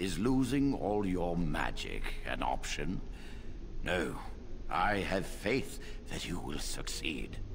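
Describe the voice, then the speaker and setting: A put-on character voice at a fairly slow pace, broken by long, frequent pauses, under loud background noise. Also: man, very deep, low pitch for a man. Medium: video game. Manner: calm, measured, solemn.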